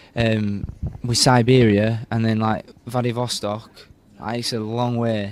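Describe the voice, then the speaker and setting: A man with a Yorkshire accent and medium pitch. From Yorkshire, northern England. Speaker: Olympic torchbearer, university student. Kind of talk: interview. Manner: animated.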